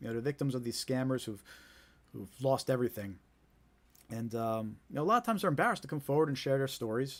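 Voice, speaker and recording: A man with a New Jersey accent talks at a very fast pace in a fairly high pitch. The recording is very clean, with a silent background. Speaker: scam awareness live streamer. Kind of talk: live stream talk to viewers. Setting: live stream, home studio. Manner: casual, repetitive with filler words.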